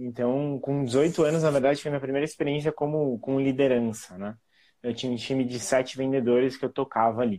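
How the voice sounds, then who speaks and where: This man has a plain, everyday voice. His pitch sits fairly high, and he keeps a moderate pace. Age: 30s. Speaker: marketing professional. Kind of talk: casual interview.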